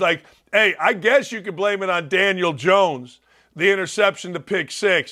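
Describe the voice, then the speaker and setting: On a very clean recording with a silent background, a man with a high pitch and a bright, sharp tone uses a raised, projected voice at a moderate pace. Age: 60s. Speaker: sports talk show host. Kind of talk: sports talk monologue. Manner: animated.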